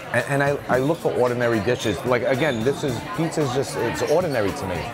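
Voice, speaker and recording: A man with ordinary pitch variation, music in the background. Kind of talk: interview answer. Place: bar. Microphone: lapel.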